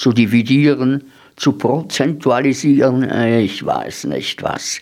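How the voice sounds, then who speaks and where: A man's medium-pitched voice. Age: 70s. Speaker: radio host. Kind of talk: reading aloud; radio show presentation.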